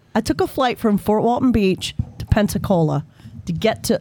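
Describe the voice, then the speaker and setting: Lively intonation from a woman at a moderate pace, with noticeable background noise. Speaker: guest musician. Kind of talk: casual chat.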